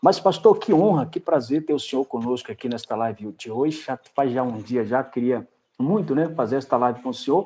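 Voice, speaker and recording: At a moderate pace, a man talks with a dark, mellow tone, a fairly high pitch and ordinary pitch variation. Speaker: pastor. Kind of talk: casual chat.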